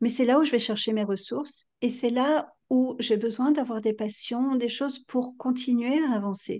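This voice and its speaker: A woman speaks in a high pitch at a fairly slow pace. She hardly pauses at all. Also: quiet background. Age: 50s. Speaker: novelist and psychotherapist. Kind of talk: interview.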